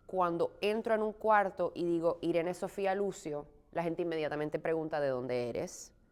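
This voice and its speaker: An unremarkable speaking voice at a moderate pace, with ordinary pitch variation and hardly any pauses. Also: woman. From Puerto Rico. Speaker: stage actress. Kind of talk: interview.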